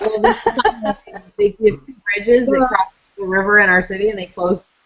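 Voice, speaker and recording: A woman with a slight East Coast Canadian accent at a moderate pace, with ordinary pitch variation. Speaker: parent vlogger. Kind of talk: casual chat.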